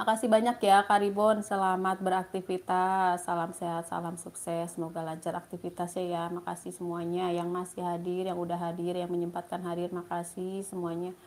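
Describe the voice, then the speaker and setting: A woman speaks at a fairly quick pace with hardly any pauses, her fairly low voice held in a flat monotone. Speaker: livestreamer. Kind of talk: live stream chat reading comments. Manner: casual, chatty.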